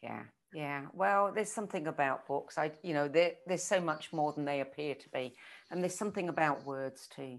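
Loudness swings widely at a moderate pace, with ordinary pitch variation against a quiet background. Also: woman, very deep, low pitch for a woman. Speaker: book club host. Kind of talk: casual interview. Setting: live video call.

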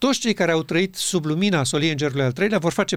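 Heard in a very clean recording against a silent background, a man talks fairly quickly at a high pitch with ordinary pitch variation. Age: 70s. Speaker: religious teacher. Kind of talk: religious discussion.

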